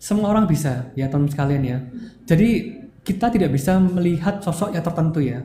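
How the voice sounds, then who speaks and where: A man's high voice with lively intonation at a fairly quick pace, with audible room echo and noticeable background noise. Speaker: university biology department head, lecturer. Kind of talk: casual interview podcast.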